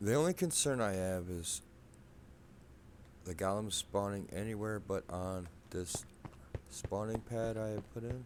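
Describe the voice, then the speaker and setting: A soft-spoken man talks at a fairly slow pace with long, frequent pauses. His voice is fairly low with ordinary pitch variation. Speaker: gaming video creator. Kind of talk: gameplay commentary. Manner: quiet, soft-spoken.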